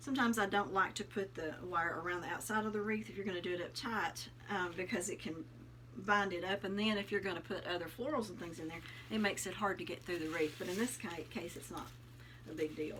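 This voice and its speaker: With a Southern US accent, a woman speaks at a fairly quick pace, her fairly low pitch carried by lively intonation. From US South, Tennessee. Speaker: craft youtuber. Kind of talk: tutorial. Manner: casual, friendly.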